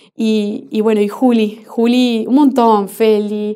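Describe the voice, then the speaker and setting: Here a woman speaks at a medium pitch with a dark, mellow tone. Her intonation stays fairly even. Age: 30s. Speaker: NGO founder. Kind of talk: interview. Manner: halting, with frequent repetitions.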